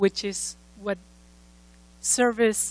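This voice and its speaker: A woman with a slight Mexican accent speaks at a medium pitch in a flat, monotone delivery. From Mexico. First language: Spanish. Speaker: former congressional candidate, speaker. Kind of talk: conference speech.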